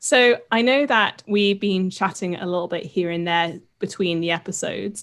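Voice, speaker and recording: With a British accent, a woman speaks at a fairly slow pace using lively intonation. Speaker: podcast host, science communicator. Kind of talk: casual chat.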